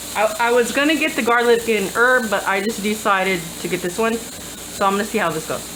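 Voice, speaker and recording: A woman talks at a very fast pace with a fairly high pitch and ordinary pitch variation. Noticeable background noise and audible room echo come through. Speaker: home cooking youtuber. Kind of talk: cooking tutorial. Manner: loud; casual.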